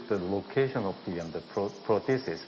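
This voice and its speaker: A man speaks in a fairly low voice with a Korean accent. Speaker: dentist doing live surgery demo. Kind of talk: live surgical demonstration. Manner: quiet, soft-spoken. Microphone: too quiet, hard to hear.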